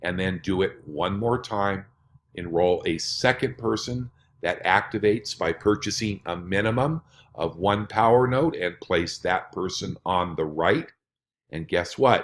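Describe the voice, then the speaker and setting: An ordinary speaking voice, a man's, fairly low in pitch, talks at a fairly slow pace with lively intonation on a very clean recording with a silent background. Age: 60s. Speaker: network marketing presenter. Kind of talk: sales pitch.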